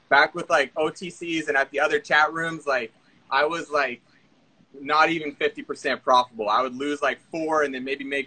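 A man's fairly high-pitched, bright, sharp voice with fairly even intonation, at a moderate pace. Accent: American. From Central Florida. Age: 19. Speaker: day trader. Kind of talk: interview. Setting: live stream call. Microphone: video call.

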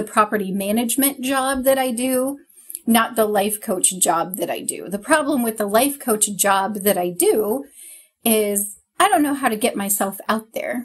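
Somewhat breathy and fairly high in pitch, a woman speaks at a fairly slow pace with ordinary pitch variation. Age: 40s. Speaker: podcast co-host. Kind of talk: casual chat. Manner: animated, laughs often.

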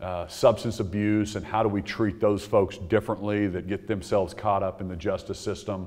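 A man speaks in a monotone, flat voice with hardly any pauses. The background is quiet. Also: fairly low pitch for a man, moderate pace. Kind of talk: press conference remarks. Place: hall. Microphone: podium.

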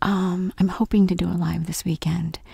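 Dark, mellow tone with a husky, rough edge and vocal fry, little pitch movement, moderate pace. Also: woman, fairly low pitch for a woman.

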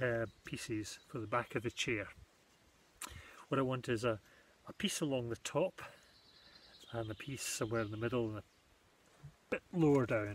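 A man speaks at a moderate pace with ordinary pitch variation. The sound is dry with no echo, and there is light background noise. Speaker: woodcraft workshop host. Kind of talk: tutorial. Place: garden. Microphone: phone near.

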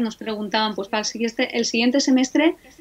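This woman has an ordinary speaking voice, pitched fairly high, with fairly even intonation. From Spain, Alicante; Spain. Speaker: Egyptologist, professor; professor. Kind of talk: interview conversation.

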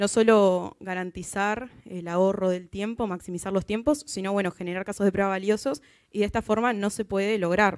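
Over a quiet background, a woman speaks at a moderate pace with fairly even intonation and hardly any pauses. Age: 20s. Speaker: software tester; conference speaker. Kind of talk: conference talk. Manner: halting, many fillers. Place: hall. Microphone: handheld.

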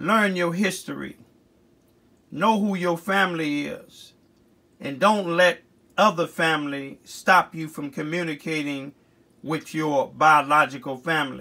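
A man's fairly high, bright, sharp voice with an American accent, fairly slow with long, frequent pauses and ordinary pitch variation, on a very clean recording with a silent background. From US Midwest, Chicago. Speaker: community activist video blogger. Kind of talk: heartfelt spoken birthday eulogy tribute to a late grandmother. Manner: earnest, reverent, loving tone with closing blessings; halting, with frequent 'uh' fillers and restarts.

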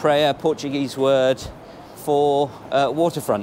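Faint background noise sits behind a man speaking at medium pitch and a moderate pace.

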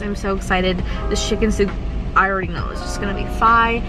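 Clear music sits behind a woman's voice, which has a dry sound with no echo. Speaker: lifestyle vlogger. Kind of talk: casual vlog chat. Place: car.

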